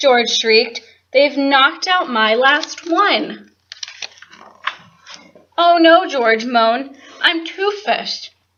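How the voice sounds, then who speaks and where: Speaking at a very slow pace, a woman uses a high pitch, a dramatic tone and lively intonation. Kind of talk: children's picture book read-aloud. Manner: dramatic, expressive.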